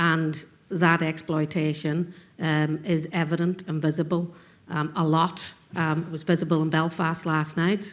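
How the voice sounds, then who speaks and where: A woman with a Northern Irish accent speaks at a fairly slow pace. Her pitch is fairly low and her intonation is monotone and flat. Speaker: panel speaker at a conference. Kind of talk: panel discussion. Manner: halting.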